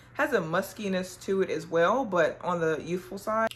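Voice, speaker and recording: Through noticeable background noise, a woman speaks at a medium pitch and a moderate pace. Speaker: fragrance reviewer. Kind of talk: product review haul. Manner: animated; casual, with filler words.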